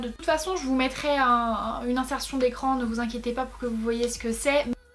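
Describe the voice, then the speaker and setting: Against noticeable background noise, a woman speaks with a high pitch and ordinary pitch variation. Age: 20s. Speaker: YouTuber. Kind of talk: casual vlog. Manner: fast.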